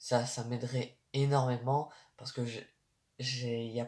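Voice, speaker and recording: Somewhat breathy, a man speaks at a medium pitch with ordinary pitch variation. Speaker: YouTuber. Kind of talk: casual monologue. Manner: slow; halting.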